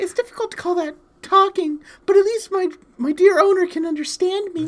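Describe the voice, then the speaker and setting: A put-on character voice, squeaky and timid in tone, pitched extremely high and delivered at a fairly quick pace. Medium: game stream. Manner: timid, apologetic.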